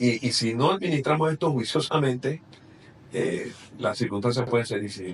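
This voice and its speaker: At a moderate pace, a man with a medium pitch speaks somewhat breathily, his intonation lively. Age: 60s. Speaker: politician. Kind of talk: interview.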